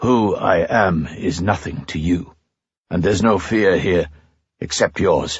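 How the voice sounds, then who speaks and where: A man puts on a gruff character voice. It sits at a fairly low pitch and moves at a fairly slow pace. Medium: read story. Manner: gentle, softly ironic.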